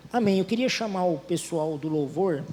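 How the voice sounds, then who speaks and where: Recorded with audible room echo, a man talks at a fairly slow pace in a high voice, his pitch varying in an ordinary way. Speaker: preacher. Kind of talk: sermon. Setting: church.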